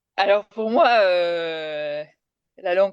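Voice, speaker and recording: Dry, close sound with no echo on a woman's voice. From France (came from Kerala, India at age 3). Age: 40s. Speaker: TV journalist and presenter. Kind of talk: interview. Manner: hesitant, many fillers.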